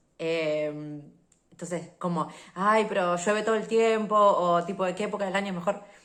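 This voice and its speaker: A woman with an animated tone and ordinary pitch variation, in audible room echo. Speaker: podcast host and travel vlogger. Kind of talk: casual solo podcast monologue. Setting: home recording on video. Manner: fast.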